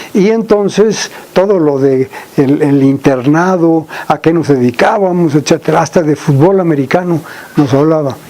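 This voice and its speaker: With noticeable background noise, a man speaks at a fairly high pitch and a moderate pace. His loudness stays very even, with ordinary pitch variation. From Mexico, Veracruz (San Andrés Tuxtla). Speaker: agricultural researcher. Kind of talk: interview. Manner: halting.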